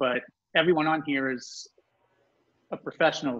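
A man talks at a moderate pace with a fairly high pitch. His intonation stays fairly even over a quiet background. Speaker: panel moderator and drummer; panel moderator. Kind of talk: moderating a panel. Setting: on an iPad with headphones. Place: home room. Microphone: video call.

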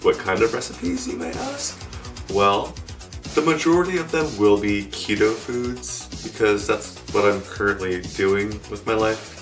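Clear music plays in the background as a man speaks at a fairly low pitch. His pace is fairly slow. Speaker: keto recipe vlogger. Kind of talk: casual talk to camera. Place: home room. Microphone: camera far.

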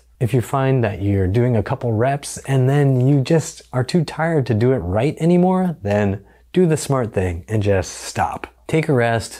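Against a quiet background, a man with a dark, mellow tone speaks at a moderate pace with very wide pitch swings. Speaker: health educator. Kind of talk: tutorial. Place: home room. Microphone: lapel.

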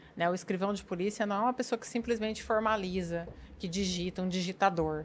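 The clip features a normal speaking voice with ordinary pitch variation. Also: woman. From interior of São Paulo state (Bauru); São Paulo, Brazil. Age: 40s. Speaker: police chief; guest. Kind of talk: casual chat. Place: studio. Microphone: studio mic.

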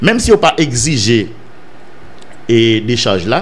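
A man speaks with very wide pitch swings. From Haiti. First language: Haitian Creole (speaking French). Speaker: political news commentator. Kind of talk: news commentary monologue. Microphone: studio mic.

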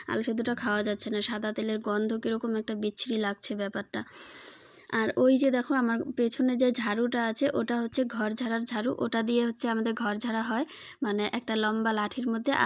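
A woman's fairly high voice in a flat monotone. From West Bengal, Alipurduar district. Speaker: lifestyle vlogger. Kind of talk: casual vlog narration. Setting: at home, outdoors in courtyard. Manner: occasional stutter.

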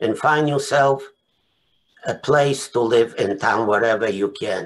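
In a Polish accent, a man speaks at a very slow pace with ordinary pitch variation. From Poland. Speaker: Holocaust survivor. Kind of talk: testimony. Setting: video call. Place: home room. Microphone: webcam.

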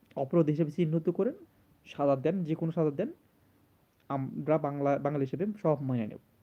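A man's fairly high pitch with ordinary pitch variation. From Bangladesh. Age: 30s. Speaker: video blogger. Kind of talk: emotional monologue to camera. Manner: halting, repetitive.

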